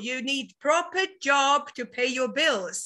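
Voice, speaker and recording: Bright and sharp in tone, a woman's raised, projected voice carries at a very slow pace. The background is quiet. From Latvia. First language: Latvian. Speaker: webinar host, network marketer. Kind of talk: business webinar presentation. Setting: online webinar. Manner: hesitant, many fillers.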